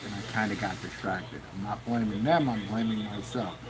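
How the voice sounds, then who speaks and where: There is noticeable background noise behind a man. His intonation stays fairly even. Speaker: RC submarine hobbyist; livestream host. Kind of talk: casual chat. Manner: halting. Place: workshop.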